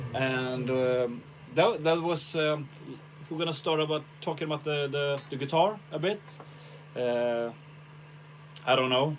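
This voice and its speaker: A man with a Swedish accent, fairly high-pitched, at a moderate pace, with ordinary pitch variation. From Sweden. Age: 40s. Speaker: guitarist. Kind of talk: casual livestream chat. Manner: halting.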